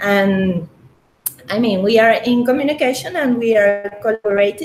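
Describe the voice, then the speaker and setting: A woman with a Spanish accent speaks at a fairly slow pace, her fairly high pitch showing ordinary variation. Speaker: crypto community organizer. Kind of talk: interview. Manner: halting, many fillers.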